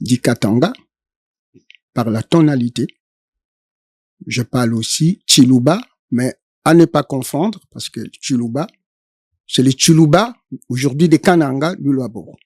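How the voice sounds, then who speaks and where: Speaking with a Congolese accent, a man with a fairly high pitch and lively intonation talks at a fairly slow pace, leaving long, frequent pauses in a dry, close sound with no echo. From DR Congo, Sankuru province. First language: Tetela (speaking French). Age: 70s. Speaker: Congolese political activist. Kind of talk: interview. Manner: hesitant, frequent fillers.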